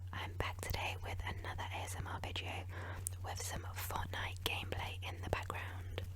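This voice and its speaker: A woman whispers in a soft-spoken way at a moderate pace. Noticeable background noise runs behind her. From England. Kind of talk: ASMR Q&A while gaming. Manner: whispered, soft-spoken.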